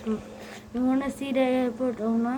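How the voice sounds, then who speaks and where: A woman speaks with a high pitch and fairly even intonation. Noticeable background noise runs beneath her voice. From Bangladesh. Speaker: gaming youtuber. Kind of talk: gameplay commentary. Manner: halting.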